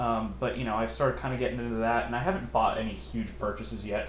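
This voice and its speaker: Talking at a very fast pace, a man is heard with noticeable background noise and audible room echo. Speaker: MRE ration reviewer, youtuber. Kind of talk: casual Q&A chat.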